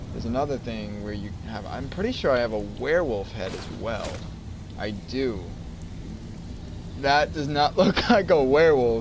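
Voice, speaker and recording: Amid noticeable background noise, a man speaks with lively intonation and long, frequent pauses. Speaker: gaming YouTuber doing mod reviews. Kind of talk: casual gameplay commentary. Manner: shy, mumbling at times.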